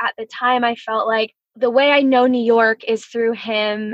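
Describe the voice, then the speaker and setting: Speaking with an American accent, a woman with fairly high pitch has an unremarkable speaking voice, a moderate pace, and a dry, close sound with no echo. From US Northeast (New Jersey). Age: 30s. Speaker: brand designer and entrepreneur. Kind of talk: casual interview chat.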